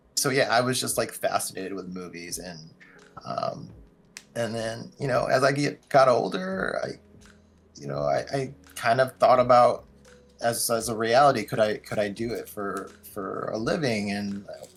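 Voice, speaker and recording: Music plays in the background as a man speaks at a moderate pace and medium pitch. His intonation is lively, with big swings in loudness. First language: Mandarin and Cantonese. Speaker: wedding videographer. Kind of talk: interview. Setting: podcast. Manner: many fillers (like, um).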